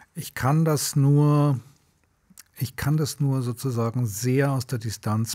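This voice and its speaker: Very clean and set against a silent background, the recording features a man with a dark, mellow tone and a somewhat breathy quality. He speaks at a very slow pace. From Munich, Bavaria. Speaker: journalist and filmmaker. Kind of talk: interview. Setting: podcast recording.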